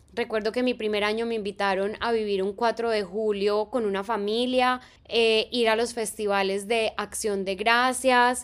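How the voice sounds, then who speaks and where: On a very clean recording with a silent background, a woman with fairly high pitch speaks at a fairly slow pace in a monotone, flat intonation with hardly any pauses. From Colombia, Medellín. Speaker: teacher and podcast host. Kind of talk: solo podcast narration.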